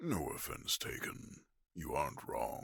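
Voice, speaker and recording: Using a put-on character voice, a man speaks raspy and at a fairly slow pace. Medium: audio drama. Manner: blunt, composed.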